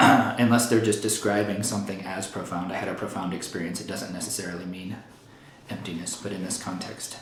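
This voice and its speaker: In a room with audible echo and noticeable background noise, a man with a fairly low pitch talks fairly quickly in a monotone, flat intonation. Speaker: Buddhist teacher. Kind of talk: lecture. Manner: fast; casual, with fillers.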